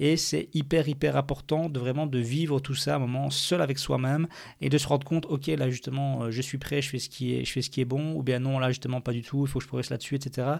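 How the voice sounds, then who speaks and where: In a very clean recording with a silent background, a man speaks at medium pitch in an ordinary speaking voice. His pace is fairly quick, with hardly any pauses and fairly even intonation. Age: 30s. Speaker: podcaster and amateur surfer. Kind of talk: solo podcast monologue.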